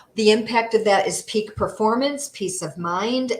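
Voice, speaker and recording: Moderate speed and ordinary pitch variation in a normal speaking voice. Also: woman. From upstate New York. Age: 50s. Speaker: holistic health coach. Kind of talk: interview; presentation.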